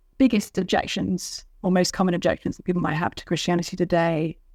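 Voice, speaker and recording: Fairly quick speech from a woman in a British accent. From England, London. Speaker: author. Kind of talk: interview.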